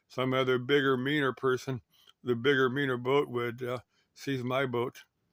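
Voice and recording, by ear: A man with an American accent talks at a medium pitch, his tone fairly bright and his intonation fairly even.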